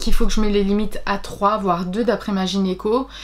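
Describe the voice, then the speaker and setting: This woman has an unremarkable speaking voice in a medium pitch. She keeps a moderate pace. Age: 30s. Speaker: book vlogger. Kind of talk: personal vlog. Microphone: webcam.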